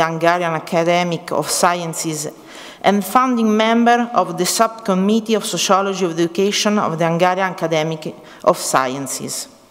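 In a normal speaking voice, a woman with a fairly low pitch talks at a moderate pace with ordinary pitch variation. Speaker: speaker. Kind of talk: formal introduction read aloud. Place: hall. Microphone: podium.

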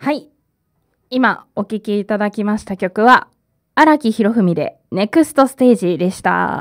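A woman with a fairly high pitch talks at a fairly slow pace with big swings in loudness over a quiet background. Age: 20s. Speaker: community radio host; radio host. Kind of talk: live radio talk. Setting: radio studio. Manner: hesitant with frequent fillers; laughs often. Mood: relaxed, friendly. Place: studio. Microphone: studio mic.

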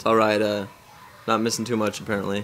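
A man speaks over faint background music. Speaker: vlogger. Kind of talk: casual vlog chat. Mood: relaxed, joking. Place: home room. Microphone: phone near.

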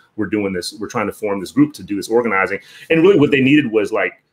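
A man with an American accent. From US East Coast. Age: 40s. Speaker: professor. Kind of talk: casual chat. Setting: video call. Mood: thoughtful, reflective. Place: home room.

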